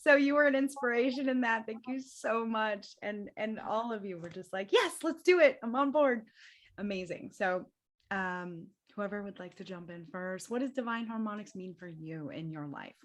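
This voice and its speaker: In a normal speaking voice, someone talks at a moderate pace with lively intonation and big swings in loudness against a quiet background. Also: woman, fairly high pitch for a woman. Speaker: spiritual event host. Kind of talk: online group panel discussion.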